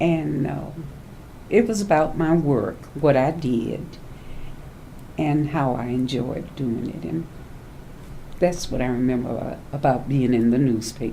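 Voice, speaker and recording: With a Louisiana accent, the speaker uses lively intonation at a fairly slow pace, with long, frequent pauses. Audible room echo surrounds the voice. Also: woman, very deep, low pitch for a woman. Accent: Southern US (Louisiana). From US South, Louisiana bayou. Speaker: elder sharing life memories. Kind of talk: oral history interview.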